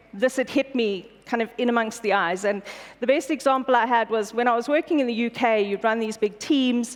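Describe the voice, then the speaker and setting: At a fairly quick pace, a woman with a high voice speaks in fairly even intonation. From South Africa, Pretoria. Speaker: corporate executive. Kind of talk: conference keynote. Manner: fast.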